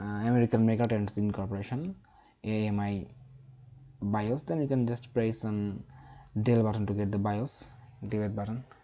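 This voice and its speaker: With a non-native accent, a man with a fairly low pitch and a dark, mellow tone speaks in fairly even intonation, leaving long, frequent pauses. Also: moderate pace. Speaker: tech tutorial youtuber. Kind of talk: tutorial. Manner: halting.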